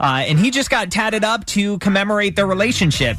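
The tone is upbeat and energetic, with a dry sound and no echo. Faint music plays in the background. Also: man. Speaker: radio host. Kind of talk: radio show hosting, music station DJ patter. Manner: upbeat, energetic, friendly. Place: studio. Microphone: studio mic.

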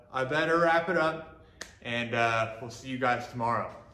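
At a moderate pace, a man speaks with ordinary pitch variation amid audible room echo. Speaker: DIY builder vlogger. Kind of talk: casual vlog chat. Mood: pleased, upbeat. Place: garage.

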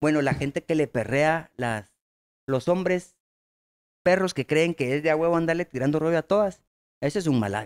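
A man speaks in a Guatemalan accent at a moderate pace, leaving long, frequent pauses. The background is quiet. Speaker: comedy podcast co-host. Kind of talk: casual chat. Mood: relaxed, joking. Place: studio. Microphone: studio mic.

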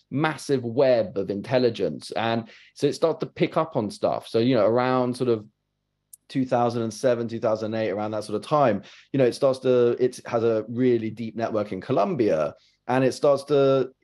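A man's dark, mellow voice at a moderate pace, with ordinary pitch variation over a quiet background. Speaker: journalist guest. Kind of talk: interview answer. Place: home room. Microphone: webcam.

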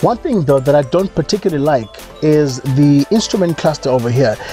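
A man talks at a fairly quick pace with ordinary pitch variation, the sound dry with no echo and faint music in the background. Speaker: car reviewer. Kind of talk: car review commentary. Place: car.

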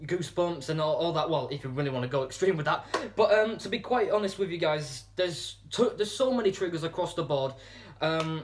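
Over light background noise, a man with a high-pitched voice speaks at a fairly quick pace with ordinary pitch variation. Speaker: channel host. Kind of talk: casual vlog chat. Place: home room. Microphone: phone near.

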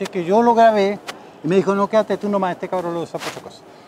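Very fast speech from a high-pitched man, ordinary pitch variation, noticeable background noise, and a dry sound with no echo. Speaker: radio and television host, former radio announcer. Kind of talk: interview answer, personal anecdote. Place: street. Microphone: lapel.

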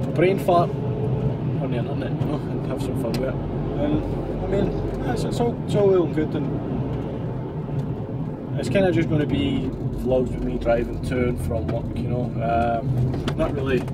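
Amid loud background noise, a man speaks with long, frequent pauses and ordinary pitch variation. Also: moderate pace. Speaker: van driver vlogger. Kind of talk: casual vlog chat. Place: car. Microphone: phone near.

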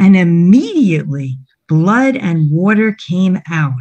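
Somewhat breathy and very slow, a woman speaks at a medium pitch against a quiet background. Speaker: Bible storyteller. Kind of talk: dramatic narration of a Bible story, felt-board storytelling with a prayer at the end. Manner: solemn, dramatic, reverent. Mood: gentle, reverent. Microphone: video call.

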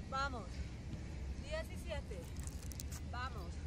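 Loud background noise surrounds a woman speaking at a very slow pace. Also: dry sound with no echo. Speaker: fitness instructor. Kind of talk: workout coaching, counting reps. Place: street.

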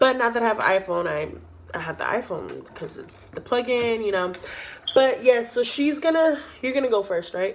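A woman speaks at a moderate pace with very wide pitch swings and big swings in loudness over light background noise. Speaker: YouTuber; vlogger. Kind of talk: casual chat. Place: home room. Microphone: phone near.

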